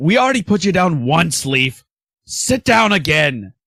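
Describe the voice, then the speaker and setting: Putting on a character voice, a man talks at a moderate pace in a high pitch with very wide pitch swings and very even loudness, the sound dry and close with no echo. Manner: stern, commanding.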